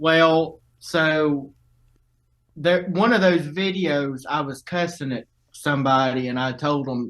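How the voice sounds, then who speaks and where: A man with a Southern US accent talks at a very slow pace. His pitch is fairly high, with ordinary pitch variation. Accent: Southern drawl. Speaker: viral video subject. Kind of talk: casual interview, storytelling. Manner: casual, swearing, halting.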